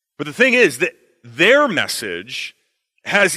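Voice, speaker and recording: A man speaks at a very slow pace. His tone is bright and sharp. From Canada. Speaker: visiting pastor. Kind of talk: sermon. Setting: church.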